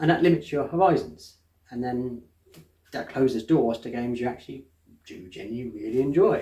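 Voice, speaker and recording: A man with an English accent talks at a fairly quick pace, his voice somewhat breathy and medium in pitch. His intonation is lively, broken by long, frequent pauses. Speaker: board game reviewer. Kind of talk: casual chat. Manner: fast; halting.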